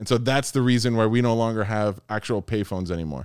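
This male voice sits at a medium pitch, and its intonation stays fairly even. Everything around it is silent on a very clean recording. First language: Spanish. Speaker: podcast co-host. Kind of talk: casual chat.

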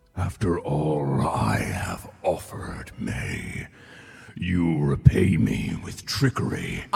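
A man does a put-on character voice, raspy and rumbling at a very deep, low pitch. He speaks at a very slow pace. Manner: menacing, accusing.

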